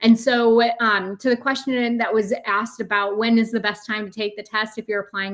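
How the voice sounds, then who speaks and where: A woman with a fairly high pitch speaks with fairly even intonation. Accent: American. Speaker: test company representative. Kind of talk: webinar Q&A answer. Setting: online webinar. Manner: fast.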